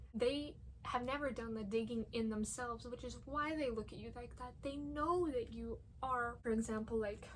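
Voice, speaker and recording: A woman's fairly high voice carries ordinary pitch variation at a moderate pace. Audible room echo surrounds her speech. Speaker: vlogger. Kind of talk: casual monologue. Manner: halting, repeats words. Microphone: poor audio quality.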